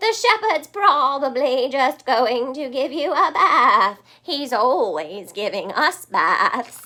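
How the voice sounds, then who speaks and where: Using a put-on character voice, a woman talks at a very slow pace in a high pitch with hardly any pauses. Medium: read story. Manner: dismissive, complacent.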